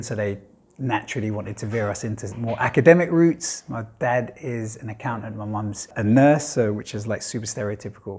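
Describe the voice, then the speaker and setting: With a London accent, a man speaks at a fairly quick pace with hardly any pauses, his medium-pitched voice somewhat breathy. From East London, England. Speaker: filmmaker. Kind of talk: interview monologue. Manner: casual, with fillers.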